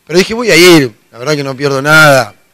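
This man's gruff, raspy voice sits fairly high in pitch, with a bright, sharp tone and ordinary pitch variation.

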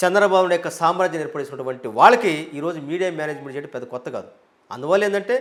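A man's high-pitched, animated voice with ordinary pitch variation. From Andhra Pradesh, Prakasam district. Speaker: politician. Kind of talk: interview.

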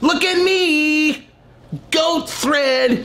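A high pitch marks this voice. It is a put-on character voice. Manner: vain, attention-seeking, sing-song.

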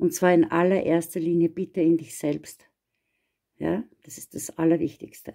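A woman speaks with a fairly low pitch and a warm, dark, mellow tone against a quiet background. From Austria. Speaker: astrologer; card reader. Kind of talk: astrology forecast monologue. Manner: warm, personal. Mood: gentle, encouraging. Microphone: phone near.

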